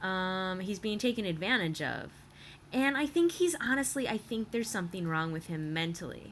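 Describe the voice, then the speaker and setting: A woman's lively intonation in an American accent. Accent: Michigan accent, coming out slightly. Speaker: vlogger / TV reaction commentator. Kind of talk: casual commentary monologue. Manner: hesitant, many fillers.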